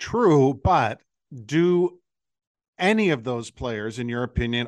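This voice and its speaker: In a plain, everyday voice, a man speaks at a fairly slow pace and medium pitch with ordinary pitch variation, the sound dry and close with no echo against a quiet background. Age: 50s. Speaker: radio host. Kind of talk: interview.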